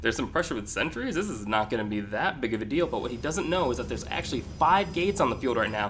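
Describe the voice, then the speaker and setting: Over music in the background, the speech races at a very fast pace with hardly any pauses and very wide pitch swings. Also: man, medium pitch for a man. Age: young. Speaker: video game commentator. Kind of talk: casual chat; live commentary. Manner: hesitant, many fillers.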